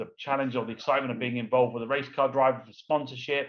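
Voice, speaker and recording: A man speaks with an English accent. His pitch sits at a medium level. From London, England. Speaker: entrepreneur, former race car driver. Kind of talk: interview. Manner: fast.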